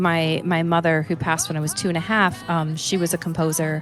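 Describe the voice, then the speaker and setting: Music plays behind a woman who talks at a fairly quick pace in a fairly low voice with a Texan accent. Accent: Texan American. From United States. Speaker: blues and opera singer. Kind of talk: casual interview chat.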